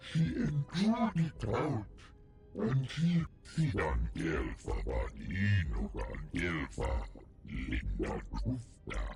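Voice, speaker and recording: A growling put-on character voice, very slow with long, frequent pauses, over clear music in the background. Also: man. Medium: video game.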